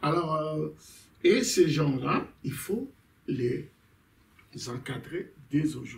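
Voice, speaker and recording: Speaking at a very slow pace, a man leaves long, frequent pauses and makes big swings in loudness. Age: 60s. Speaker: pastor. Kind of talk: casual chat. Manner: halting.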